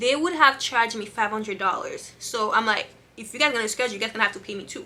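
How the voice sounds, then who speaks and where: A woman rushes along at a very fast pace amid noticeable background noise. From Haiti, raised in Massachusetts. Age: 30s. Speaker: vlogger. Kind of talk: casual vlog. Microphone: camera mic, poor.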